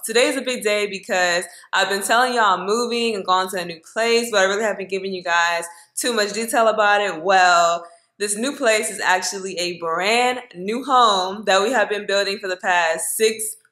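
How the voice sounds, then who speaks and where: Against a quiet background, a woman speaks at a moderate pace in a bright, sharp tone with ordinary pitch variation. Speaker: lifestyle vlogger. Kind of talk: casual vlog chat. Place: kitchen. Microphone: phone near.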